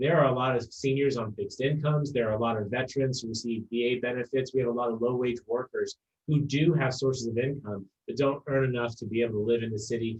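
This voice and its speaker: Here a man speaks at a very fast pace. His pitch is medium and his intonation fairly even. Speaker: mayor. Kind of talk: panel discussion.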